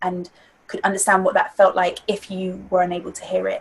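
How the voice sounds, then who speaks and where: Somewhat breathy, a woman with a medium pitch speaks at a moderate pace. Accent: London. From London. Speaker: spoken word artist and theatre-maker. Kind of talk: interview answer.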